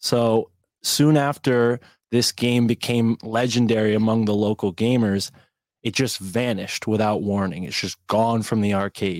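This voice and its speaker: A man with a plain, everyday voice speaks at a medium pitch and fairly slow pace with fairly even intonation, in a very clean recording with a silent background and a dry, close sound with no echo. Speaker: podcast host. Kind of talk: casual chat.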